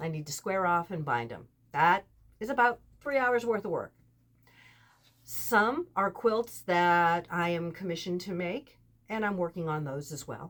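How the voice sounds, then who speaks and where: Speaking at a fairly slow pace, a woman uses an unremarkable speaking voice with lively intonation. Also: fairly low pitch for a woman. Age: 60s. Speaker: quilting vlogger. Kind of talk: casual vlog talk.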